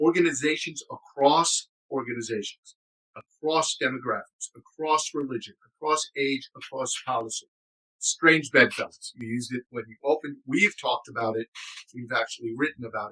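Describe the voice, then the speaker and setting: A plain, everyday voice from a man with an American accent, fairly high in pitch with ordinary pitch variation, big swings in loudness and a moderate pace, in a dry, close sound with no echo. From New York City. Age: 60s. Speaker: former intelligence officer, advocacy group director. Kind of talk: interview. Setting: podcast recorded live.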